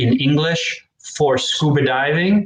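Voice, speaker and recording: Using an unremarkable speaking voice, a man talks at a fairly slow pace with ordinary pitch variation. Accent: American. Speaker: English teacher. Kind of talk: live educational stream. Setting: live online stream.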